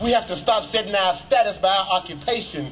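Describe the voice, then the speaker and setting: Noticeable background noise is present throughout. Through it, a man's voice comes across. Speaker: spoken word poet. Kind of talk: spoken word poetry performance. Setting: outdoors.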